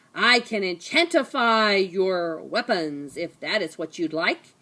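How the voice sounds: A put-on, female-sounding character voice, gravelly and at a middle pitch, moves at a fairly slow pace. The recording is very clean, with a silent background.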